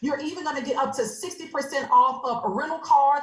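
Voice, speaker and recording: A woman talks in an animated tone. Her pitch is high. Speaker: online business presenter. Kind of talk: sales pitch. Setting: video call. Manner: fast.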